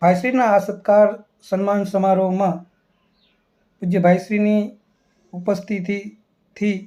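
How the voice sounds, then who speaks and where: A man speaks at a high pitch with a dark, mellow tone. His intonation is flat and monotone. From Gujarat, Saurashtra (Amreli district). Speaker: assistant professor. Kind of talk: formal invitation speech. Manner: formal; halting.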